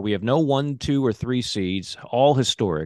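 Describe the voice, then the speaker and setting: A man with an ordinary speaking voice, medium-pitched, with lively intonation, against a quiet background. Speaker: podcast host. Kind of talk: casual chat.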